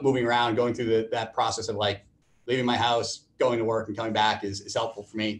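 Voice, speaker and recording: At a fairly quick pace, a man with an American accent speaks in a monotone, flat intonation at a medium pitch. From Boston, Massachusetts. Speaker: venture capitalist; guest. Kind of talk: panel interview. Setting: video call. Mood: relaxed, candid. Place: office. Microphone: webcam.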